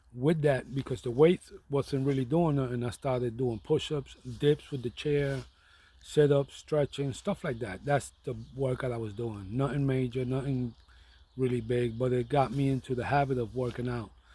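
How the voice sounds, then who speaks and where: A man with a New York accent talks at a moderate pace in a dark, mellow, somewhat breathy voice. His medium pitch carries fairly even intonation. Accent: New York (Bronx) English. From New York City (the Bronx). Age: 60s. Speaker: vlogger. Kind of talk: casual monologue. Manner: hesitant, with fillers and repetitions.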